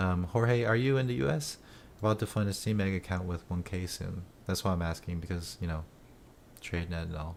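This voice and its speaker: His voice sits very deep and low, with ordinary variation in pitch, as this man talks. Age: 40s. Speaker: day trader and live streamer. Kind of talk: live stream chat answering viewer questions. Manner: hesitant, many fillers and restarts.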